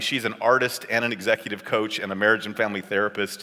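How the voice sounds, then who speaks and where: Speaking at a very fast pace, a man with a Californian accent keeps a fairly low pitch and fairly even intonation. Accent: General American (Californian). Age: 50s. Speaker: pastor and seminary professor. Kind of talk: conference talk.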